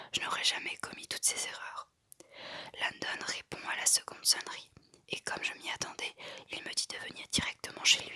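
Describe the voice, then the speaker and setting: A woman whispers at a moderate pace, her loudness swinging widely. She leaves long, frequent pauses. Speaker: ASMR artist. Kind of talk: whispered audiobook-style reading of a novel. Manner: whispered, soft-spoken.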